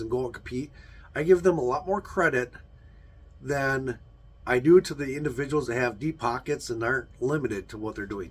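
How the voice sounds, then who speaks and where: The speaker is somewhat breathy, with ordinary pitch variation and a moderate pace. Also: man. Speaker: YouTuber, car channel host. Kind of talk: casual vlog monologue. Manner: hesitant, many fillers.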